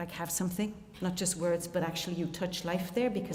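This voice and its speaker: The speaker has an Irish accent and fairly even intonation. Audible room echo and noticeable background noise surround the voice. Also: woman. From Ireland. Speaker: theologian and musician, keynote speaker. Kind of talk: conference keynote talk. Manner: fast.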